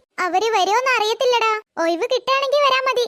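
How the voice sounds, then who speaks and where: A woman uses a cartoonish character voice at an extremely high pitch. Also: moderate pace. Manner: lively, teasing.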